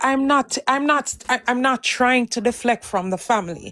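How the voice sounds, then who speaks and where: In a Jamaican accent, a woman speaks at a fairly slow pace and high pitch with ordinary pitch variation, the sound dry and close with no echo. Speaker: live stream host. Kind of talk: heated debate.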